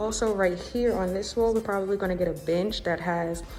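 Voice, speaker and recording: A woman's quiet voice at medium pitch with fairly even intonation. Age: 20s. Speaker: lifestyle vlogger. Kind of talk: home tour vlog. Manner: hushed, trying to be quiet.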